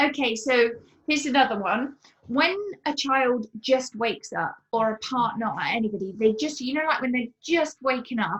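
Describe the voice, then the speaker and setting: Speaking with a British accent, a woman has a high pitch, ordinary pitch variation and a moderate pace. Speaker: permanent makeup artist. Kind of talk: interview conversation. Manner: quiet.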